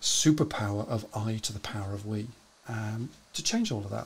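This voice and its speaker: A man speaks with a British accent. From UK. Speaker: live show host. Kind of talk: casual interview. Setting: live stream. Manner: chatty. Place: home room.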